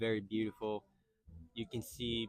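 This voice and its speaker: At a moderate pace, a man with a fairly low pitch speaks with a Japanese accent. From Okinawa, Japan. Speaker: local interviewee. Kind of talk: casual interview. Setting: outdoors at a beach. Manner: halting.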